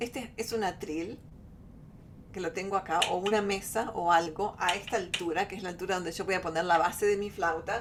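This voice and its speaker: Speaking at a fairly quick pace, a woman uses fairly even intonation at a medium pitch. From Argentina. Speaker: flutist, workshop teacher. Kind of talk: online workshop. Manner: halting.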